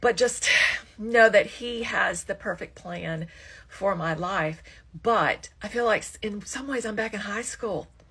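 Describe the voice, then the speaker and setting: A woman with a fairly high pitch and a plain, everyday voice talks at a fairly slow pace, showing ordinary pitch variation and big swings in loudness. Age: 60s. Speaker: social media creator. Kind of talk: casual vlog monologue.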